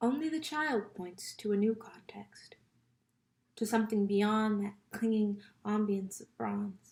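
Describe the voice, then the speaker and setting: Fairly high-pitched and somewhat breathy, a woman speaks at a fairly slow pace with ordinary pitch variation and big swings in loudness. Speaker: poetry reader. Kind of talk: reading aloud.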